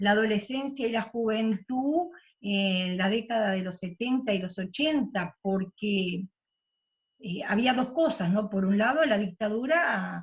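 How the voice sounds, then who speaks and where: Somewhat breathy and fairly high, a woman's voice moves at a very slow pace with lively intonation. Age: 60s. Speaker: book club participant, former union activist. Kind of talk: casual discussion. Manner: halting, many fillers.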